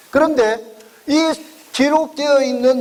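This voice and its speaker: Over noticeable background noise, a man speaks loudly. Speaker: education consultant lecturer. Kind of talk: lecture.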